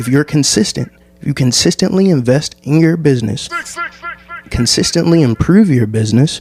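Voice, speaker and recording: Lively intonation and a moderate pace mark this speaker with an American accent. Background noise is noticeable. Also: man, fairly high pitch for a man. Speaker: podcast host. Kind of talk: solo podcast monologue. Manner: casual.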